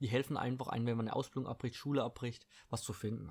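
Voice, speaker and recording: The recording is very clean with a silent background. A man speaks very fast at a medium pitch. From Baden-Württemberg, Germany (Eppingen, Heilbronn district). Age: 20s. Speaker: podcast host and fitness trainer. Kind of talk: casual solo monologue. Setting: at home. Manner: casual, filler-heavy.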